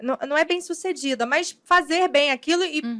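A bright, sharp tone comes across with a dry, close sound that carries no echo. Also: woman. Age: 30s. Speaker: podcast co-host, makeup artist. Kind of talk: casual interview.

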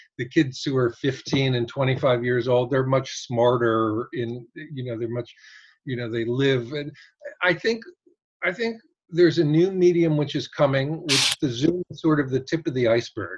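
Talking at a moderate pace, a man with an American accent has a medium pitch and a somewhat breathy voice. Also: ordinary pitch variation. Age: 60s. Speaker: photographer. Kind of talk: casual chat. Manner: halting.

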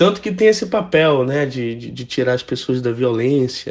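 Speaking at a fairly slow pace, a man uses a normal speaking voice at medium pitch. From Brazil, Manaus (Amazonas). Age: 20s. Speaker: musician. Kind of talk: interview.

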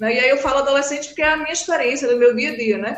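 A woman with a Recife accent, talking at a very fast pace. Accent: northeastern Brazilian (Recife). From Recife, Brazil. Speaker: psychologist. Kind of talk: casual chat.

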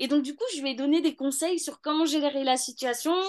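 Over a quiet background, a woman speaks. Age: 30s. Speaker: law student and mother. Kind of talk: interview testimony.

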